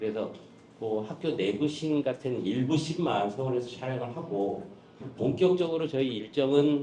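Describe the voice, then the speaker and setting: A man's medium-pitched voice comes through with audible room echo. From Jeju, South Korea. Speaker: film producer. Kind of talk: press conference briefing.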